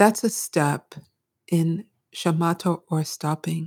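A woman with an American accent speaks very slowly in a fairly low, somewhat breathy voice with a dark, mellow tone, on a very clean recording with a silent background and a dry, close sound with no echo. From US Northeast (Brooklyn, New York). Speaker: mindfulness teacher. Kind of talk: interview.

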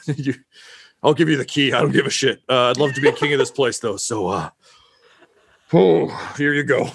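Using a put-on character voice, a man sounds raspy at medium pitch and leaves long, frequent pauses. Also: moderate pace. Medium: actual play. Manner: hesitant, halting, filled with ums.

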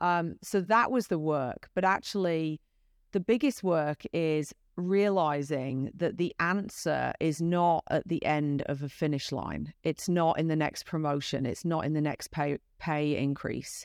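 A British accent at a fairly slow pace, in a dry, close sound with no echo. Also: woman, very deep, low pitch for a woman, ordinary pitch variation. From UK. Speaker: entrepreneur and executive. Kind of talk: interview.

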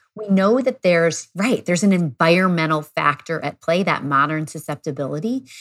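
In a very clean recording with a silent background, a woman with a plain, everyday voice speaks at a fairly quick pace with hardly any pauses, her fairly low pitch carrying lively intonation. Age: 40s. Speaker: pediatrician. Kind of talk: expert interview.

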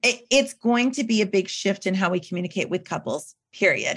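A woman speaks in a normal speaking voice at a medium pitch and a moderate pace. Her pitch varies in an ordinary way, and the background is quiet. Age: 40s. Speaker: wedding PR consultant. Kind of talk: casual chat.

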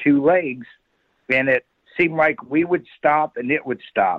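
A man with an American accent has an unremarkable speaking voice at a fairly high pitch. He talks at a moderate pace with ordinary pitch variation. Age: 60s. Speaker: eyewitness. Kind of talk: storytelling.

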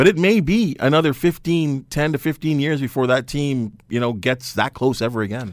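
A man's fairly high, a normal speaking voice with a Canadian accent and lively intonation, on a very clean recording with a silent background. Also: moderate pace. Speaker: sports broadcaster. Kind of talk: casual chat. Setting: studio.

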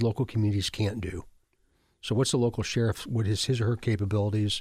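On a very clean recording with a silent background, a man with an American accent speaks at medium pitch in a dark, mellow, somewhat breathy tone. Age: 60s. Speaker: state police chief. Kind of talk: interview. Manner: halting.

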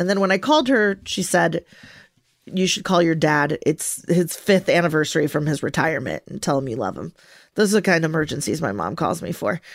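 A woman with a fairly low pitch and vocal fry speaks at a fairly quick pace with lively intonation, on a very clean recording with a silent background. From Venezuela. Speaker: podcast co-host. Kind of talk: casual chat.

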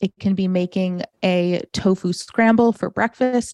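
Recorded with a dry, close sound and no echo, a woman with an American accent speaks at medium pitch in a dark, mellow tone with ordinary pitch variation. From US Midwest, suburban Detroit, Michigan. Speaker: vegan chef and food entrepreneur. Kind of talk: podcast interview.

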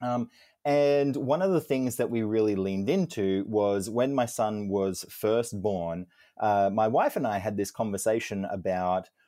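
With an Australian accent, a man speaks at a fairly low pitch in a dark, mellow tone. The recording is very clean, the background silent. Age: 30s. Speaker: children's book author. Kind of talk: interview.

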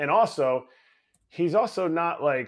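Here a man speaks in an ordinary speaking voice with lively intonation at a fairly slow pace. The recording is very clean, with a silent background. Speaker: baseball coach and former player co-host. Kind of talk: casual sports chat.

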